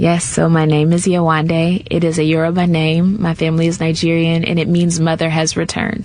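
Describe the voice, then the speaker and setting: Monotone, flat intonation and very even loudness come with hardly any pauses, set against noticeable background noise. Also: woman, fairly low pitch for a woman. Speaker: painter. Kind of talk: radio interview. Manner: frequent hesitations.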